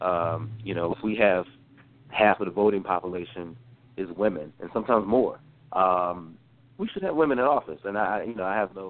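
A man speaks with a slight Southern US accent at a fairly quick pace. His pitch is fairly low, with ordinary pitch variation. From North Carolina. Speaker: former congressional staffer. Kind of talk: interview. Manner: halting, many fillers and repeated words.

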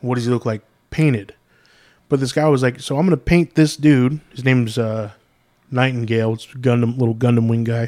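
On a very clean, dry, close recording with a silent background and no echo, a man with an unremarkable speaking voice talks fairly quickly at medium pitch with ordinary pitch variation. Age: 30s. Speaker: podcast co-host. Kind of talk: casual chat.

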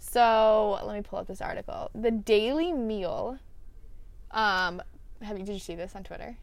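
In a normal speaking voice, the speaker moves at a moderate pace with lively intonation and big swings in loudness. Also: woman, fairly high pitch for a woman. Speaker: podcast host. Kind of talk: casual chat.

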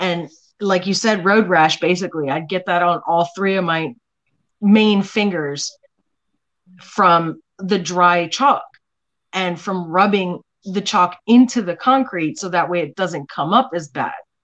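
A woman with a plain, everyday voice talks at a fairly slow pace, her medium pitch showing ordinary pitch variation. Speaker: artist. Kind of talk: casual chat.

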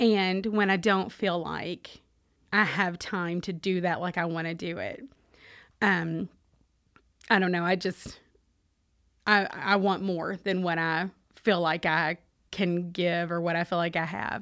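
With a Kentucky accent, a woman with a fairly low pitch speaks at a fairly slow pace, using fairly even intonation and long, frequent pauses, in a very clean recording with a silent background. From US South, Owensboro, Kentucky. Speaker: Salvation Army officer. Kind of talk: interview testimony.

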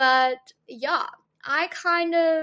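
Bright and sharp in tone, this woman's voice stands out. She talks in a raised, projected voice. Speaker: solo podcast host. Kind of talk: casual monologue. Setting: home recording with laptop and headphones. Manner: animated.

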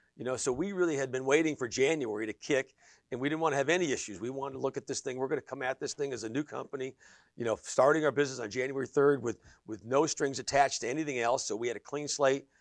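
A man with an American accent speaks very fast at a medium pitch. The sound is dry and close with no echo, over a quiet background. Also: ordinary pitch variation. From western Pennsylvania (Sharon area). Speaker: energy business owner and property developer. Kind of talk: interview. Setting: studio.

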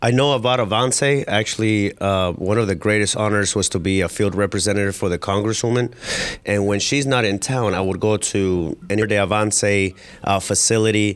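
Over noticeable background noise, a man talks at a fairly quick pace in a fairly low voice. His loudness stays very even and his intonation is fairly even. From Colombia. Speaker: millennial organization president. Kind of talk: radio interview.

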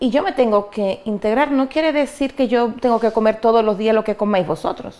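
Lively intonation marks a woman's high-pitched voice at a moderate pace. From Dominican Republic (Cabrera, María Trinidad Sánchez). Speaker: migrant interviewee. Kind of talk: interview. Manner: hesitant, many fillers and repetitions.

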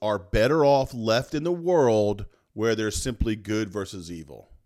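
A man speaks in a normal speaking voice at a moderate pace. The recording is very clean, with a silent background. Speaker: podcast co-host. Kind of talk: casual chat. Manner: playful, talkative.

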